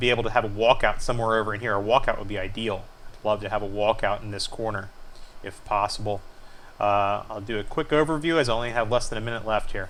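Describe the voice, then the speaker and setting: A man at a medium pitch, fairly quick and fairly even in intonation, with audible room echo. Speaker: homeowner showing house plans. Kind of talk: screencast tutorial walkthrough. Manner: fast; hesitant fillers.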